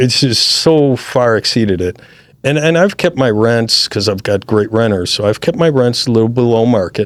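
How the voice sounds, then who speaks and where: A man with an American accent and an ordinary speaking voice, medium in pitch, at a moderate pace, with very even loudness and ordinary pitch variation. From US Midwest, Chicago suburbs. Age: 60s. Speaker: real estate investor. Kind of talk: interview. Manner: casual, conversational.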